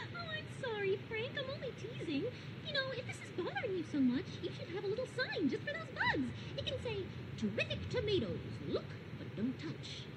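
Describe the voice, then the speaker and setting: A female-sounding, cartoonish character voice moves along at a fairly quick pace. Loud background noise is present throughout. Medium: puppet show. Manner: cheery, teasing.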